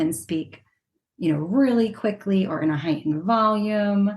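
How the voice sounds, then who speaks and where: Her intonation is lively, and the woman sounds somewhat breathy. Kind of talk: podcast interview.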